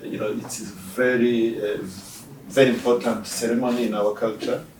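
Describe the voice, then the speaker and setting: At a moderate pace, a man speaks at medium pitch with fairly even intonation and big swings in loudness. Noticeable background noise and audible room echo fill the recording. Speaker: ambassador. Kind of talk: interview. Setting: embassy office. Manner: hesitant, many fillers.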